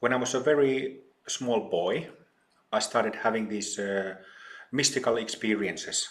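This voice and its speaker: Medium-pitched male speech in a Finnish accent, moderate in pace, with ordinary pitch variation and long, frequent pauses. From Finland, old mining town. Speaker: spiritual teacher. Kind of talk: podcast interview.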